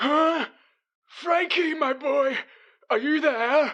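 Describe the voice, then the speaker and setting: Someone uses a put-on character voice with a high pitch. The pace is very slow. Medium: comedy sketch. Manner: cranky, yelling.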